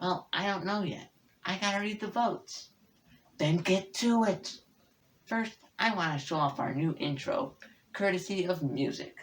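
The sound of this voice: A female-sounding cartoonish character voice at a middle pitch leaves long, frequent pauses. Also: moderate pace.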